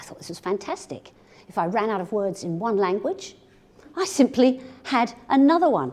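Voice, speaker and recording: With an English accent, a woman speaks at a moderate pace in a fairly high pitch, her dark, mellow tone moving through very wide pitch swings. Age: 60s. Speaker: business communication speaker. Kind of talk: keynote talk to audience.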